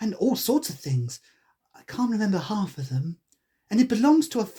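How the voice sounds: Behind the speaker, the background stays quiet. The delivery is a natural reading voice.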